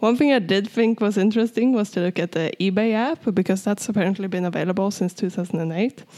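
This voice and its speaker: A woman with a Swedish accent speaks very fast with hardly any pauses, at a medium pitch with ordinary pitch variation and a dark, mellow tone, in a very clean recording with a silent background. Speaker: tech podcast co-host. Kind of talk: casual chat.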